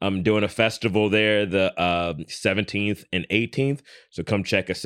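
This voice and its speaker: A man at a fairly slow pace, dry and close with no echo. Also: very clean recording, silent background. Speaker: podcast co-host. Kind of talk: casual banter, comedic. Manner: animated, playful.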